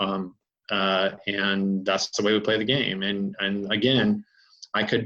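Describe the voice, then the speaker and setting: Bright and sharp in tone, a man speaks at a fairly slow pace in a fairly low pitch, with monotone, flat intonation and very even loudness. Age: 50s. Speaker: racing safety inspector and fabricator. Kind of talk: podcast interview. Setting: remote call. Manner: gruff, barking. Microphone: dropped words from connection issues.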